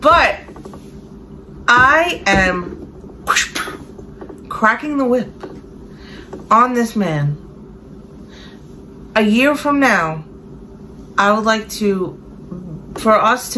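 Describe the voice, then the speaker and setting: Someone with a Brooklyn accent talks at a very slow pace, pitch swinging very widely, with long, frequent pauses. Background noise is noticeable throughout. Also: woman. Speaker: online reseller and vlogger. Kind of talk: casual chat. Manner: emotional, rambling.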